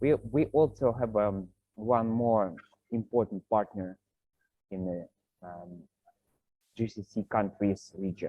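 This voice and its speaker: This man's voice sits fairly low in pitch with ordinary variation. He speaks with a Russian accent. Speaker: partner relations manager, meeting host. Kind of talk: online business meeting. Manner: hesitant, many fillers.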